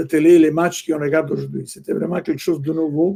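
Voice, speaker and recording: A man speaks in a fairly high pitch. His tone is dark and mellow. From Italy. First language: Italian (speaking French). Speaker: soccer executive, former fan club president. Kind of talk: interview. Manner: halting.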